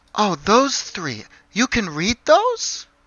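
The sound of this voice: The put-on character voice has a fairly high pitch.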